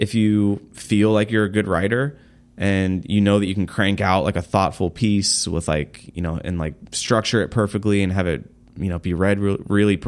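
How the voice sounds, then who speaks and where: At a moderate pace, a man with an ordinary speaking voice talks at a fairly low pitch with ordinary pitch variation. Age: 30s. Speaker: social media agency founder. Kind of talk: interview. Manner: casual, frequent fillers and laughs.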